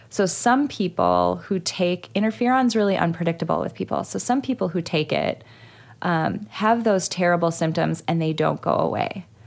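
In a very clean recording with a silent background, a woman uses an ordinary speaking voice, fairly low in pitch, at a moderate pace with lively intonation. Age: 30s. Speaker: psychologist and podcast host. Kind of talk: casual chat.

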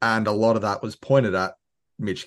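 An Australian accent comes through at a fairly quick pace. The intonation stays fairly even over a quiet background. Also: man. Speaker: fan podcaster. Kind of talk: casual sports chat.

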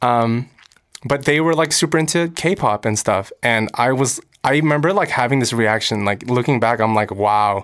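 With an American accent and a plain, everyday voice, a man talks at a moderate pace with ordinary pitch variation. The recording is very clean, with a silent background. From Los Angeles, US. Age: 20s. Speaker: actor and singer. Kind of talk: casual interview chat. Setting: studio at a university.

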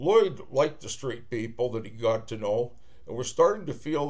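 Someone reads text aloud plainly. Nothing more than plain reading aloud is heard.

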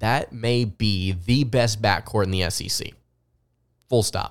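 A man with a Southern US accent speaks at a fairly low pitch with ordinary pitch variation. The recording is very clean, with a silent background. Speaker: sports podcast host and writer. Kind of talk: solo sports podcast commentary.

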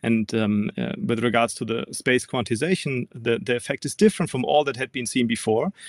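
A fairly quick delivery with a German accent and ordinary pitch variation, in a dry, close sound with no echo. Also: man. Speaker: physics professor. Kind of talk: interview. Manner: halting, frequent um and uh.

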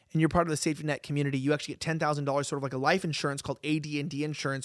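A man with a Californian accent, recorded very cleanly against a silent background. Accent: Californian American. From Los Angeles. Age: 20s. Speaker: political commentary host. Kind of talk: casual chat.

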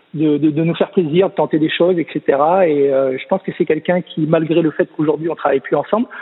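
A man with a fairly high pitch and fairly even intonation talks very fast, with noticeable background noise present. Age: 30s. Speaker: swimming coach. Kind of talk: casual interview. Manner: halting, many repetitions.

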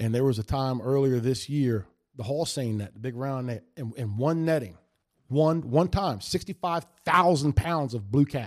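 A man at medium pitch, moderate pace, ordinary pitch variation and an animated tone. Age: 40s. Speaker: professional bass angler. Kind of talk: casual chat. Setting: studio.

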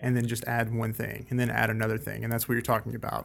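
A man talks at a very fast pace in a medium pitch. His voice has vocal fry. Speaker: podcast host and photographer. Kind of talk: interview; scripted intro. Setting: co-working space.

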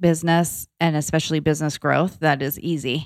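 Speaking at a moderate pace with an American accent, a woman has a fairly low pitch and an unremarkable speaking voice. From Florida. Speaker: entrepreneur, founder of a lifestyle brand. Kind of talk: casual interview conversation. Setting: studio.

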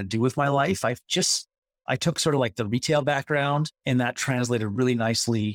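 A man speaks with a normal speaking voice at a medium pitch. His pitch varies in an ordinary way, and the sound is dry and close with no echo. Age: 40s. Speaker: startup CEO and co-founder. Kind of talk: casual interview. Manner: casual, filler-heavy.

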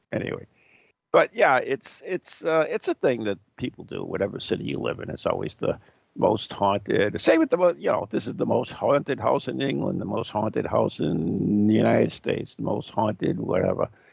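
A man's fairly low voice with lively intonation, vocal fry and a slightly husky edge. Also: moderate pace.

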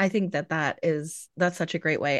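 A woman's ordinary speaking voice, fairly low in pitch, with fairly even intonation at a moderate pace, in a dry, close sound with no echo and a quiet background. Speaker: podcast host. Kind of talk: casual chat.

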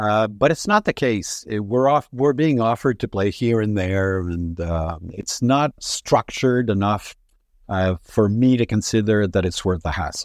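A man with a Quebec accent and a fairly low pitch, speaking at a fairly slow pace over a quiet background. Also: ordinary pitch variation. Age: 60s. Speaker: rock band frontman. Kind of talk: interview. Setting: remote call from home.

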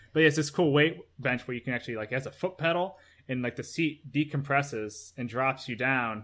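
With a normal speaking voice, a man talks at a medium pitch with ordinary pitch variation, recorded very cleanly against a silent background. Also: fairly quick pace. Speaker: YouTuber and video producer. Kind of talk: casual interview chat.

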